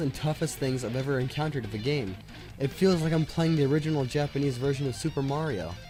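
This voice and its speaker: Over music in the background, a man speaks quietly at a fairly high pitch with ordinary pitch variation. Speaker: game reviewer. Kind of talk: video game review narration.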